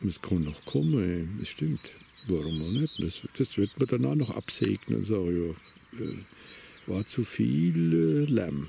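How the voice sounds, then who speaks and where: A man with a very deep, low voice and very wide pitch swings speaks at a very slow pace. The sound is dry with no echo, over light background noise. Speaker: vlogger on a walk. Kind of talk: casual monologue while walking. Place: open country.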